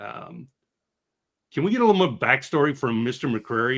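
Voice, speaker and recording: A man with an American accent has a plain, everyday voice, pitched fairly high for a man. He talks at a fairly quick pace with lively intonation. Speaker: filmmaker and live stream host. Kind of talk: casual chat.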